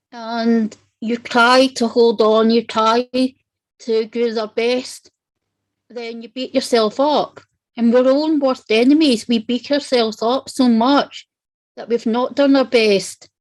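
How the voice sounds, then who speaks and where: Delivered at a very slow pace in a Scottish accent, the speech has monotone, flat intonation and big swings in loudness. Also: woman, fairly high pitch for a woman. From Scotland. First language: Italian. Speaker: panel guest on non-profit show. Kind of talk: personal testimony in panel discussion.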